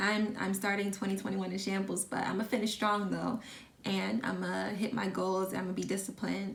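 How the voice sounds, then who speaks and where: In a room with audible echo and noticeable background noise, a woman speaks at a medium pitch and a moderate pace. Her intonation is monotone and flat, and her loudness stays very even. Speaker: lifestyle vlogger. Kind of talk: casual vlog talk.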